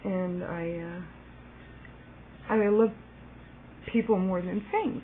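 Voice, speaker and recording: Amid noticeable background noise, a woman with an American accent speaks at a fairly slow pace. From US, Virginia (Alexandria). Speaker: video blogger. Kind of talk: personal video message. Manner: casual, halting with fillers.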